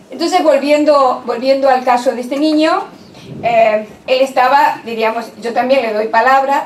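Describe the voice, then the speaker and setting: A woman speaks at a high pitch and a moderate pace, with ordinary pitch variation. Audible room echo and light background noise are present. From Argentina. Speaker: university professor and education lecturer. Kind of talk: lecture. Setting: conference hall with audience. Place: meeting room.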